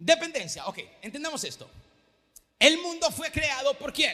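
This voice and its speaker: The voice is raised and projected, with a bright, sharp, animated tone. It moves at a fairly slow pace. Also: man. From Venezuela. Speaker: pastor. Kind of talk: sermon. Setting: church.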